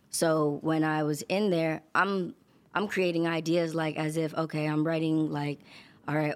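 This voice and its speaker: Recorded very cleanly with a silent background, a woman with a New York accent speaks at a moderate pace in a very deep, low, flat monotone. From New York, Queens and Long Island. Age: 20s. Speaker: singer and songwriter. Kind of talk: interview.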